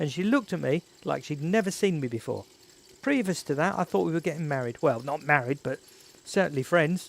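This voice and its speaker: The delivery comes with an Estuary accent at a fairly quick pace. Intonation is lively throughout. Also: man, fairly high pitch for a man. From England, North East London. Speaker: YouTuber. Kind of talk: live stream chat. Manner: casual, chatty.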